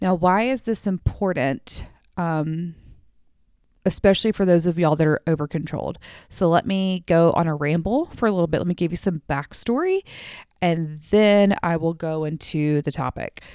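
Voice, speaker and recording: Recorded with a dry, close sound and no echo, a woman in an American accent uses a dark, mellow tone at a fairly low pitch and moderate pace. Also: ordinary pitch variation, very clean recording, silent background. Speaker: therapist and podcast host. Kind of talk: casual solo podcast monologue. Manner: audible sighs.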